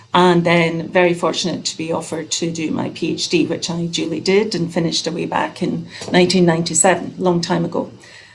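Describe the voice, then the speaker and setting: Speaking with a Scottish accent, a woman keeps a fairly quick pace with hardly any pauses. Her pitch is fairly low and her intonation is monotone and flat. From Scotland. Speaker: nurse researcher. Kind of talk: introduction on video call.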